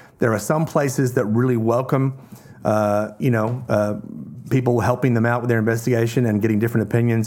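A man with an Australian accent, very fast in pace, his intonation fairly even. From Australia (Tasmania), partly raised in Hong Kong. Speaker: zoologist and wildlife conservationist. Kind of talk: casual chat.

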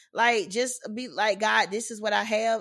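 A woman's animated, playful tone on a very clean recording with a silent background. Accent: strong Southern US. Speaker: podcast host and ministry leader. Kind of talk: casual chat about faith.

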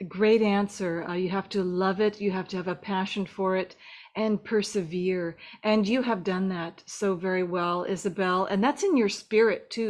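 A woman with an unremarkable speaking voice talks at a moderate pace, medium in pitch and fairly even in intonation. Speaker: film podcast host. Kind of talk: interview.

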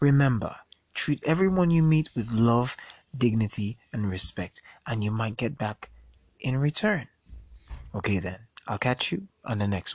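Speaking at a moderate pace with long, frequent pauses, a man with a medium-pitched, somewhat breathy voice uses lively intonation in a dry, close recording with no echo. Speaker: podcast host. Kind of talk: casual monologue. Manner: animated.

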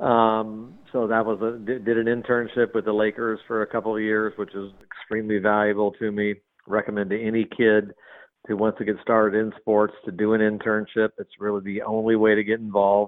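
A man with an American accent talks at a fairly quick pace. His fairly low voice stays monotone, with flat intonation. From US, Southern California. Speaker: sports team communications executive. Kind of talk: interview. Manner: hesitant, filler-heavy.

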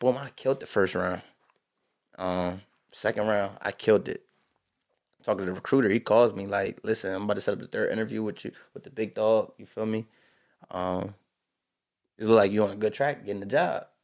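Over a silent background in a very clean recording, a man with a fairly low pitch speaks at a fairly quick pace, with big swings in loudness and long, frequent pauses. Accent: American. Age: 20s. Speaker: high school football head coach. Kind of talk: casual interview. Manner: animated.

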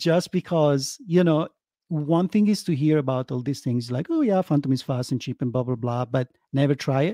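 In an Italian accent, a man speaks with a dark, mellow tone, recorded with a dry, close sound and no echo. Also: fairly high pitch for a man, ordinary pitch variation, moderate pace. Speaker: crypto project team member. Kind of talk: interview.

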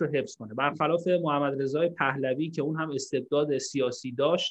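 A man at a fairly high pitch in a normal speaking voice, with fairly even intonation and a moderate pace. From Iran. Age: 30s. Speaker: political activist. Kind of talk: panel discussion.

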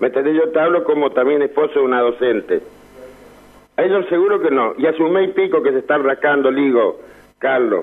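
A plain, everyday voice belongs to this man, pitched fairly high with ordinary variation. His loudness stays very even throughout. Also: fairly quick pace. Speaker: caller. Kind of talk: phone call-in. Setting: phone call.

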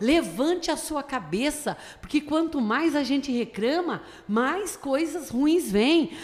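A woman talks very slowly in a high pitch with lively intonation. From Brazil, Tatuí (São Paulo state). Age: 50s. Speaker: pastor. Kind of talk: radio interview.

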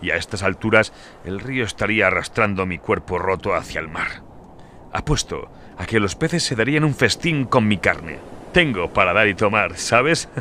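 A man with a plain, everyday voice speaks at a moderate pace, his intonation lively. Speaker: audiobook narrator. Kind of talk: dramatic fiction narration, voicing characters. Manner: theatrical, playful and menacing, jovial tone turning to dark glee; shifts between narration and character dialogue.

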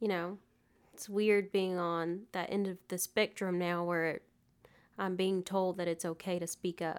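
In a Southern US accent, a woman talks at a medium pitch. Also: very clean recording, silent background. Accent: US South. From Alabama, Prattville. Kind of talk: interview.

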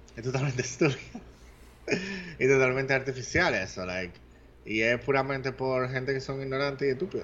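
A man's medium-pitched voice with a Dominican accent, fairly quick pace, ordinary pitch variation and long, frequent pauses. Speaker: podcast co-host. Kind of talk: casual chat.

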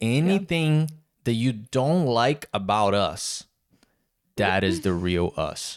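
A man speaks very slowly at a medium pitch, leaving long, frequent pauses, with very wide pitch swings and very even loudness. The recording is very clean, with a silent background. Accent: Brazilian. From southern Brazil. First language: Portuguese. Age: 20s. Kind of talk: casual chat, podcast intro.

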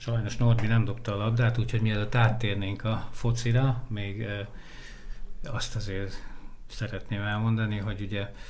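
Speaking fairly slowly, a man keeps his intonation monotone and flat. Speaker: sports journalist. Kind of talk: casual chat.

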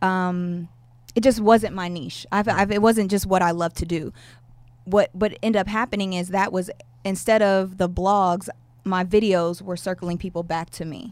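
This is an unremarkable speaking voice. It moves at a moderate pace with fairly even intonation. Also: woman, medium pitch for a woman. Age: 30s. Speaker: YouTube content creator. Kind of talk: casual interview.

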